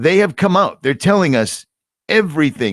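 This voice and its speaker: The speaker talks at a fairly quick pace in an American accent, with vocal fry and very wide pitch swings. The recording is very clean, with a silent background. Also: man. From United States. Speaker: video podcast host. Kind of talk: casual conversation.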